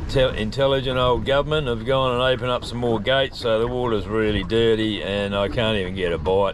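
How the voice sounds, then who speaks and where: Moderate-paced speech, dry with no echo, over light background noise. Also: man. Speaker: fishing vlogger. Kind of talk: casual vlog chat. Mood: relaxed, mildly grumbling. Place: boat. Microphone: phone near.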